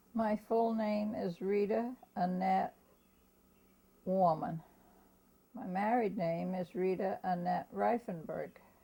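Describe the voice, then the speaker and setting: Very slow, with long, frequent pauses, a woman with an American accent speaks in a dark, mellow tone that is somewhat breathy, her intonation fairly even. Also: medium pitch for a woman. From Germantown, US. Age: 90s. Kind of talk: oral history interview. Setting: at home. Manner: halting.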